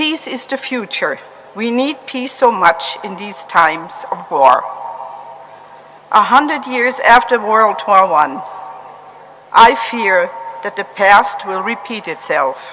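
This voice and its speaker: Amid noticeable background noise, a woman at medium pitch speaks very slowly, with very wide pitch swings, big swings in loudness, and long, frequent pauses. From Germany. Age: 70s. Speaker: Holocaust survivor. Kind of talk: testimony. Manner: formal.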